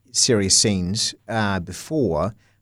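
Recorded very cleanly against a silent background, a man talks with a New Zealand accent. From New Zealand, North Canterbury. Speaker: TV journalist. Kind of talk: interview. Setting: studio.

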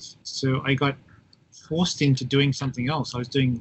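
A man with an Australian accent speaks at a moderate pace and a medium pitch. His voice is somewhat breathy, with monotone, flat intonation. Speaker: professor. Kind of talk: interview. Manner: halting.

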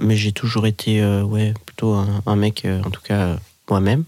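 Speaking at a fairly slow pace, a man has a fairly low voice. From Switzerland, Geneva. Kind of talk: casual interview.

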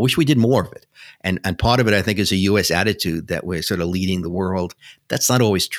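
The speaker has a New York accent and talks at a very fast pace. Loudness swings widely from moment to moment. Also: man, very deep, low pitch for a man, ordinary pitch variation, very clean recording, silent background. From New York City. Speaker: broadband policy expert. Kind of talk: interview. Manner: halting, hesitant.

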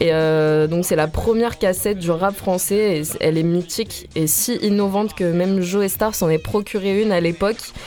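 Amid noticeable background noise, a woman talks at a fairly low pitch with fairly even intonation. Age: young. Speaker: radio columnist. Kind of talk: radio segment.

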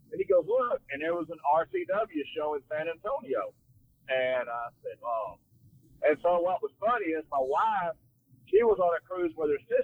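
With a Texan accent, a man speaks at a moderate pace. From North Texas, Fort Worth. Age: 60s. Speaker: wrestler. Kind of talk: casual chat. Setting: phone call from a car.

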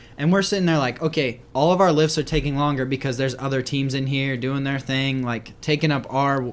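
In a normal speaking voice, the speaker goes at a fairly quick pace with fairly even intonation, on a very clean recording with a silent background. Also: man. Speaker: podcast host. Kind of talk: casual chat.

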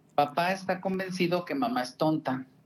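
A man speaking at a moderate pace. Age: 50s. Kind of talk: interview. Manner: halting.

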